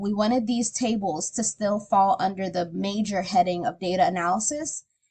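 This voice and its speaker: A woman speaks at a moderate pace with ordinary pitch variation. Her voice is somewhat breathy with a dark, mellow tone. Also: hardly any pauses. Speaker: teacher. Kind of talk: tutorial. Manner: casual.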